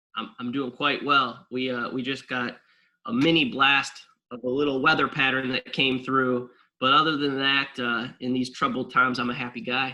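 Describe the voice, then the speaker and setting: An American accent comes through. The delivery moves at a moderate speed. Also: man, medium pitch for a man. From Wisconsin. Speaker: track and cross country coach. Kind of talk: interview answer. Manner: animated.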